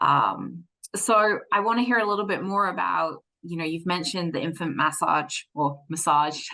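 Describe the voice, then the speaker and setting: A woman's bright, sharp tone with vocal fry, fairly low pitch and ordinary pitch variation. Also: moderate pace. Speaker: interim podcast host. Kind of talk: podcast interview. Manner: hesitant, many fillers.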